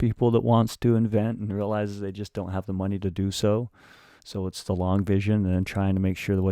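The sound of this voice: The reading voice comes across as unforced. Its intonation is fairly even throughout.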